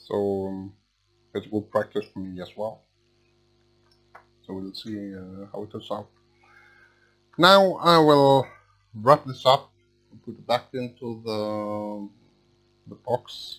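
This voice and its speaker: Music plays in the background as a man speaks at a very slow pace with long, frequent pauses. His pitch is fairly low with ordinary variation, and his loudness swings widely. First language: Swedish. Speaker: electronics repair technician. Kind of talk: tutorial. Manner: halting.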